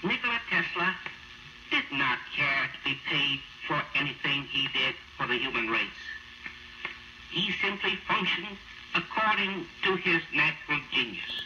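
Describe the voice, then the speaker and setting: Amid noticeable background noise, a high-pitched man with an American accent speaks at a fairly slow pace, using lively intonation and long, frequent pauses. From United States, New York City. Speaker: mayor of New York City. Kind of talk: radio eulogy reading. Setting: 1943 radio broadcast, cleaned-up old recording. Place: studio. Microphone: old recording.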